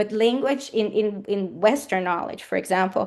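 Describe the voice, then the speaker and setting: With a Portuguese accent and lively intonation, a woman speaks against a quiet background. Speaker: academic speaker. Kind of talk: lecture. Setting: seminar with audience. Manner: hesitant with fillers.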